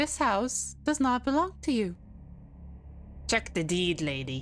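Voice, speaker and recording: A female-sounding, put-on character voice moves at a fairly slow pace. Clear background noise sits behind it. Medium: game stream. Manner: theatrical read-aloud.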